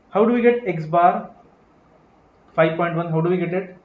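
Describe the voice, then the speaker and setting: The speaker is a man with a high pitch. Room echo can be heard. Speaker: accounting exam teacher. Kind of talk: live online lecture. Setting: live stream class. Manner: fast.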